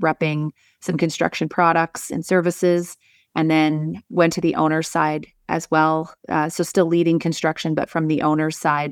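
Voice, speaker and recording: A woman with a Canadian accent speaks at a moderate pace in a normal speaking voice, fairly low in pitch. The very clean recording has a silent background and a dry, close sound with no echo. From northern Alberta, Canada. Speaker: civil engineer and leadership coach. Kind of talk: interview conversation.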